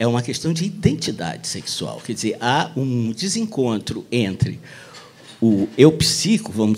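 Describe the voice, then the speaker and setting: A man talks at a fairly slow pace with vocal fry. His intonation is lively. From Brazil, Rio de Janeiro. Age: 60s. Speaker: author and speaker. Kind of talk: talk at a public event. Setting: bookstore event with audience.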